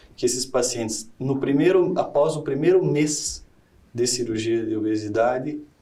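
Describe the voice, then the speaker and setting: Audible room echo surrounds a man with a dark, mellow tone who speaks with a strong Paraná accent. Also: medium pitch for a man, ordinary pitch variation, moderate pace. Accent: Paraná accent, still strong. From southern Paraná, Brazil. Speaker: surgeon. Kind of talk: interview. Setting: studio. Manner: halting.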